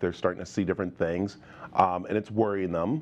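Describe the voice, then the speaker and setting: A man's very deep, low pitch with fairly even intonation. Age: 50s. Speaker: TV show host. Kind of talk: TV interview. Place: studio. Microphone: lapel.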